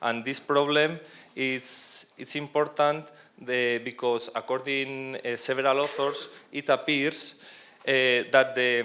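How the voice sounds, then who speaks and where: A man with a Spanish accent at a very slow pace, in a monotone, flat intonation. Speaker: professor. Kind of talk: conference presentation. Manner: halting, many hesitations and restarts. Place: hall. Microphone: handheld.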